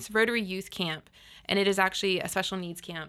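On a very clean recording with a silent background, a woman with a bright, sharp tone talks at a fairly quick pace with fairly even intonation. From Florida Panhandle, Panama City. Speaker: insurance agent and service club president. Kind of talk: casual interview. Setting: studio.

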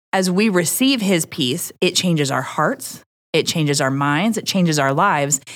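With a plain, everyday voice, a woman speaks at a fairly low pitch and a fairly slow pace. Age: 30s. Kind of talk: casual chat.

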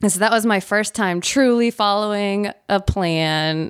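A woman with a Southern US accent at a medium pitch and fairly slow pace, on a very clean recording with a silent background. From Nashville, Tennessee. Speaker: amateur runner. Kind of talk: casual interview. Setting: studio, in person. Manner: laughs often.

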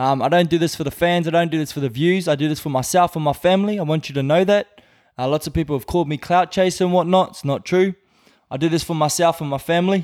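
A man speaks at a high pitch with an Australian accent. He goes at a very fast pace in a very clean recording with a silent background. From Australia, north Brisbane. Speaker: rapper. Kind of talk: casual chat. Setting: studio.

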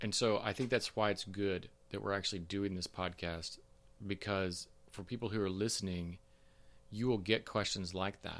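With an unremarkable speaking voice, a man talks at a moderate pace in a fairly low pitch with fairly even intonation. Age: 50s. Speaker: podcast co-host. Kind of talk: casual chat.

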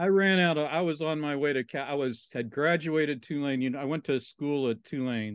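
An ordinary speaking voice from a man with an American accent, fairly quick with hardly any pauses and ordinary pitch variation, against a quiet background. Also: fairly high pitch for a man. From Southwest Virginia, Appalachia. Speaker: interpretive trainer and consultant. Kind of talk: casual interview conversation. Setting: remote call.

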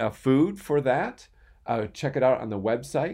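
A man with a normal speaking voice, ordinary pitch variation and a moderate pace, over a quiet background. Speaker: PTO beautification team member. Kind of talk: casual chat.

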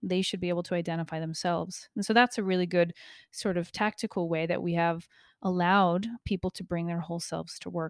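A woman's plain, everyday voice at a fairly quick pace, fairly even in intonation, with a dry, close sound free of echo and a very clean recording over a silent background. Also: fairly low pitch for a woman. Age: 30s. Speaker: podcast host and leadership coach. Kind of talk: solo podcast monologue.

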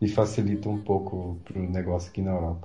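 Somewhat breathy and fairly low in pitch, a man speaks in a flat monotone amid audible room echo. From São Paulo, Brazil. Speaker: product manager, Brazilian expat. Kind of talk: casual chat.

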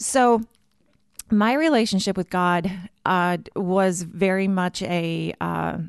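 A woman with a slight Minnesotan accent speaks at a fairly low pitch with ordinary variation. The sound is dry and close with no echo, over a quiet background. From Minnesota, US Midwest. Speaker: church communications director. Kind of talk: casual interview.

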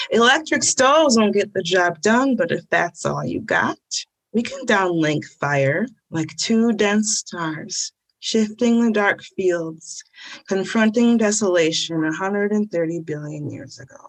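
This woman speaks very slowly in an American accent at a medium pitch. Her pitch swings very widely, and her loudness rises and falls sharply. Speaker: poet. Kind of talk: poetry reading; casual interview answers. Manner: casual, hesitant, filler-laden in interview.

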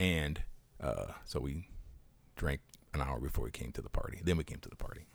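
Very deep and low in pitch, a man speaks with vocal fry at a fairly quick pace, with long, frequent pauses and ordinary pitch variation. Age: 60s. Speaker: podcast co-host. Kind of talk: casual chat.

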